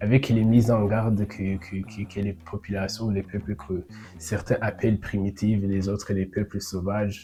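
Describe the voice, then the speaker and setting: A dark, mellow, somewhat breathy voice in a Burundian accent, with fairly even intonation and a fairly slow pace. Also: man, fairly low pitch for a man. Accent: Burundian, rural. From Burundi, rural. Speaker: podcaster. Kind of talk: improvised monologue. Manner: halting, many repetitions.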